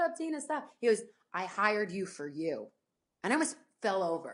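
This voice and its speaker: A woman with an American accent speaks at fairly high pitch with very wide pitch swings. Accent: US Northeast, slips in at times. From New Jersey. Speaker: sports anchor and reporter. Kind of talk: interview conversation. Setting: podcast. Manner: fast; animated.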